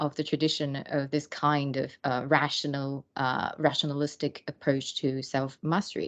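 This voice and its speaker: The speaker has a non-native accent, with a quiet background. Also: woman. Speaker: academic researcher. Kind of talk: lecture. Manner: halting, many fillers.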